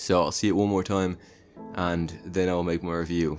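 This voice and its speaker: Over music in the background, a man with a very deep, low pitch speaks at a moderate pace in a monotone, flat intonation. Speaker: movie reviewer. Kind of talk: casual talk to camera.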